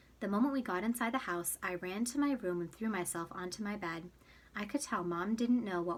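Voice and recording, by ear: The clip is of reading aloud in a natural voice.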